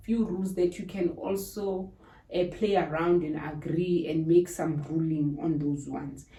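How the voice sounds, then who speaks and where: A woman talks at a moderate pace in a fairly low pitch. Noticeable background noise is present. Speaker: YouTuber. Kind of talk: tutorial.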